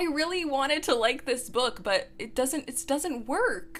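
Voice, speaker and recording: A woman with a high voice speaks at a moderate pace while noticeable background noise plays. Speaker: book reviewer. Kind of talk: rant review. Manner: animated.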